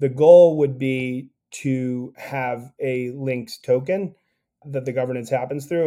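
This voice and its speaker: A man's medium-pitched voice with an American accent, an ordinary speaking voice. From US Northeast (Connecticut). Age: 40s. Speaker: tech startup founder. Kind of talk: interview conversation.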